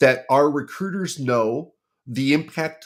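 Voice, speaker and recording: A man speaks in an unremarkable speaking voice at medium pitch, with ordinary pitch variation and a fairly slow pace. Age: 50s. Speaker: recruiter. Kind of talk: podcast interview.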